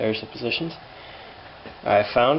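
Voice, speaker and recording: Medium-pitched man with noticeable background noise. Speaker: hobbyist tractor restorer. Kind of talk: tutorial. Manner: halting, many fillers; casual.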